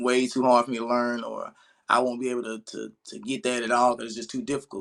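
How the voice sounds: A man at a medium pitch with vocal fry, at a fairly quick pace.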